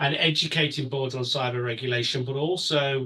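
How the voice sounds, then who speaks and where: The tone is bright and sharp, and the pace is fairly quick. Intonation stays monotone and flat. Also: man. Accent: British. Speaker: cybersecurity consultant and webinar presenter. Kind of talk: webinar presentation. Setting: online webinar. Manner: halting, many fillers.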